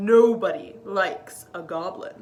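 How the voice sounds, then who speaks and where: A woman's put-on character voice at a fairly slow pace. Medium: read story.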